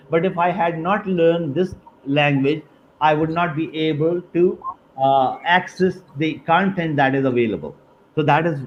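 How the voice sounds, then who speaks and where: A man speaks in a Pakistani accent at a fairly high pitch. His pace is moderate, with ordinary pitch variation. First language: Urdu. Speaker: university dean. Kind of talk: webinar interview. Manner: halting, many fillers.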